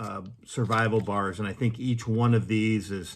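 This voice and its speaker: A man's ordinary speaking voice with fairly even intonation. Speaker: gear reviewer. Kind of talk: tutorial. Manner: casual with frequent fillers and repeats.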